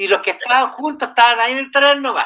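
A man's raised, projected voice with a bright, sharp tone, ordinary pitch variation and a Chilean accent. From Chile, Santiago. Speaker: panelist. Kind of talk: casual chat.

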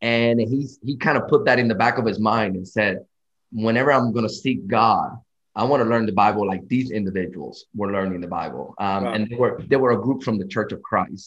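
This man speaks in a normal speaking voice at medium pitch. His pace is fairly quick and his pitch varies in an ordinary way. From Dominican Republic, moved to US at 11. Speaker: preacher. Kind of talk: casual interview.

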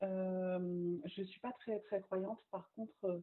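A woman talks very slowly at a medium pitch. Her pitch varies in an ordinary way. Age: 30s. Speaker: magazine founder and communication agency owner. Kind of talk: casual interview. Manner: lively.

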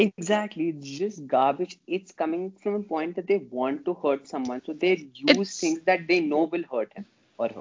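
At a moderate pace, a man talks in a high pitch with ordinary pitch variation. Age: 20s. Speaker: podcast guest. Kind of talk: casual chat.

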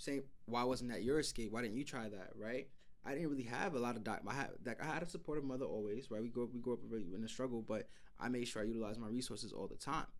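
Rattling along at a very fast pace, a man with a New York accent talks at a medium pitch with ordinary pitch variation. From North Carolina, then New York City. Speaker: podcast co-host. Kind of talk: casual chat.

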